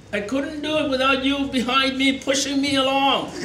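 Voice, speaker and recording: With audible room echo and noticeable background noise, a man talks at a moderate pace in an extremely high pitch. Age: 70s. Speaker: election candidate. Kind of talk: campaign speech. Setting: event with live audience. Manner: animated.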